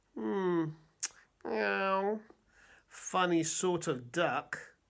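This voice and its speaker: A put-on character voice is pitched in the middle range. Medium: read story.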